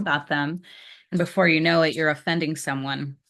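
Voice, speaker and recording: Against a quiet background, a woman speaks with a very deep, low pitch and ordinary pitch variation. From Colombia (Cali), raised in US. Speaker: lawyer and politician. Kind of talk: casual chat.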